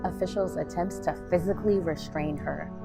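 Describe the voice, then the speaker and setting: The talking proceeds at a moderate pace. Behind it, music plays. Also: woman. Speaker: spoken word poet. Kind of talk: spoken word poetry performance.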